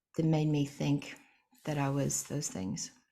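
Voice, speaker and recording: A soft-spoken woman at a moderate pace, on a very clean recording with a silent background. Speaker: singer-songwriter. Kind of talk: interview.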